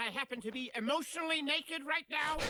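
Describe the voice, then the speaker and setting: A cartoonish character voice rattles along at a very fast pace and a high pitch. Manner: gloomy, sardonic.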